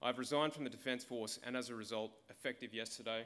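This man talks very fast with an Australian accent. His tone is bright and sharp, his intonation fairly even. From Australia, regional Victoria. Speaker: political candidate, former army officer; candidate. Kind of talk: campaign speech. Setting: stage with audience. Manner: formal. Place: hall. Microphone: podium.

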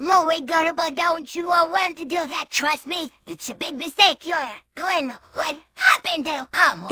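An extremely high pitch comes at a moderate pace. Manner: sarcastic.

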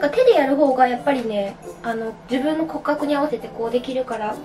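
Faint music plays behind a woman speaking at a fairly quick pace with a high pitch. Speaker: beauty vlogger. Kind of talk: casual tutorial chat. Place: bathroom. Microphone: camera far.

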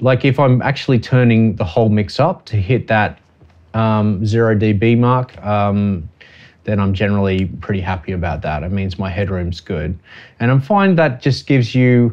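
Against a quiet background, a man talks in a normal speaking voice at a moderate pace, pitched fairly low with ordinary pitch variation. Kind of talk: tutorial. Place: studio.

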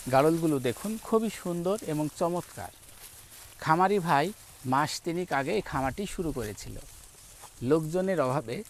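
An unremarkable speaking voice from a man, fairly high-pitched, with lively intonation. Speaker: agriculture video host. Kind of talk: on-location farm interview and walkthrough.

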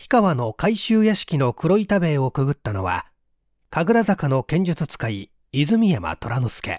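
Recorded very cleanly against a silent background with a dry, close sound and no echo, a man speaks in a fairly high pitch with very wide pitch swings. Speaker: voice actor; stage actor. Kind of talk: audiobook reading of a mystery story.

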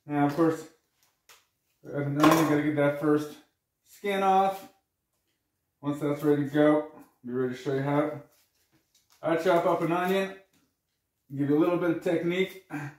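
Long, frequent pauses break up speech with fairly even intonation. Audible room echo surrounds it. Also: man, moderate pace. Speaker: presenter. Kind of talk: tutorial. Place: kitchen. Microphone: camera far.

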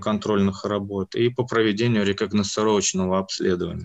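A man with a plain, everyday voice at a medium pitch, moderate pace, and fairly even intonation in a quiet background. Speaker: university department head. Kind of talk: lecture-style presentation. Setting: video call. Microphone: video call.

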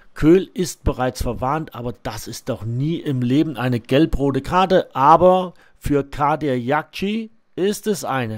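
A man with a plain, everyday voice speaks at a fairly slow pace, his fairly high pitch rising and falling in lively intonation on a very clean recording with a silent background. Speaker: match commentator for club video channel. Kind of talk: live-style sports commentary over match highlights, partisan toward the Barockstadt side.

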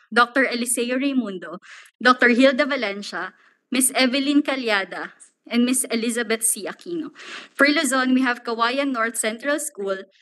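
Against a quiet background, a woman speaks at a moderate pace in a high, bright and sharp voice with ordinary pitch variation. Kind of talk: formal reading of attendee list. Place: hall. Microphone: podium.

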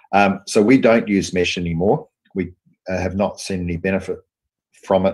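The speaker has an Australian accent, and the background is quiet. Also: man. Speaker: surgeon and professor; presenter. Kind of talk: lecture; interview. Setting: video call. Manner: hesitant, many fillers. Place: office. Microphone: video call.

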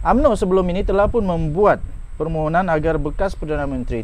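A man with a high-pitched voice talks at a very fast pace with lively intonation. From Malaysia. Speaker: political commentary YouTuber. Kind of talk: news commentary. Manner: animated. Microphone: lapel.

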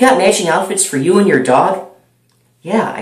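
A man speaks against a quiet background. Audible room echo is present. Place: home room. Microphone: webcam.

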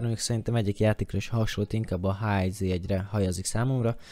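A man with a fairly low pitch and a dark, mellow tone, on a very clean recording with a silent background. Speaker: gaming YouTuber. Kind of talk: tutorial. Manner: halting, stammering.

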